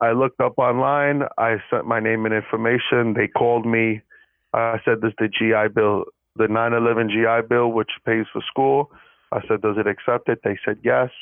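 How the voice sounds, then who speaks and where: Using a normal speaking voice, a man of medium pitch keeps a fairly even intonation and very even loudness. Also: moderate pace. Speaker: podcast co-host, student. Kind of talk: casual chat, unscripted podcast.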